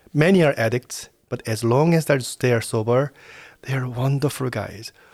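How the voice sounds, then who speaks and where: A man speaks in a Korean accent at a moderate pace and medium pitch, with ordinary pitch variation. He leaves long, frequent pauses in a very clean recording with a silent background. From South Korea. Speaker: prison chaplain. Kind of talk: interview.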